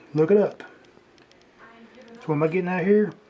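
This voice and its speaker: Noticeable background noise is present. Over it, a man talks with ordinary pitch variation. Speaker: online commentator. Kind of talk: casual livestream commentary. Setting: livestream.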